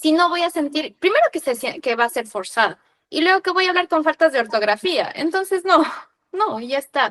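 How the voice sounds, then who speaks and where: Speaking at a fairly quick pace in a Quito accent, a woman with an extremely high pitch makes very wide pitch swings, and the sound is dry and close with no echo. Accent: Quito Ecuadorian Spanish, kept. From Ecuador, Quito. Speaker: podcast host. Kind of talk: casual chat.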